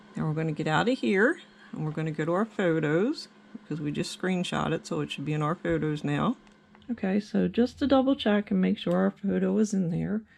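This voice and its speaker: Noticeable background noise runs under this clip. A woman talks at a fairly quick pace. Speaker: craft tutorial maker. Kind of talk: tutorial.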